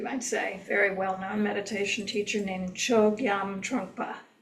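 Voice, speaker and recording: A woman talks at a fairly slow pace and medium pitch, with audible room echo. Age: 70s. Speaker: meditation teacher. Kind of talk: lecture. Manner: hesitant, many fillers.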